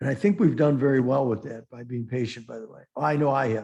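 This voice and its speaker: Somewhat breathy, with a dark, mellow tone, a man speaks at a medium pitch and a moderate pace with ordinary pitch variation. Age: 60s. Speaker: futures trader and market commentator. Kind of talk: trading webinar Q&A. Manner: halting, many restarts and fillers.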